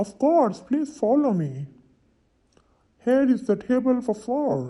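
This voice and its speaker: A put-on character voice, fairly high in pitch. It moves at a fairly slow pace. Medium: solo performance. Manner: polite, formal.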